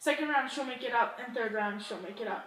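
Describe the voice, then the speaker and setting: A woman keeps up a fairly quick pace while noticeable background noise carries on. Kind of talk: vlog intro to camera.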